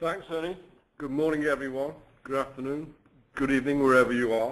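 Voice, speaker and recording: With a British accent, a man talks at a fairly quick pace. His fairly high pitch keeps fairly even intonation. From UK. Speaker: company finance chief. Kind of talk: webinar presentation.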